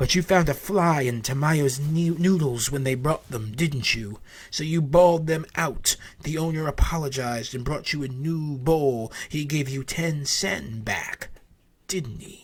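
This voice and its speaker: At a fairly slow pace, a man puts on a character voice with a fairly high pitch. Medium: read story. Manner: needling, knowing.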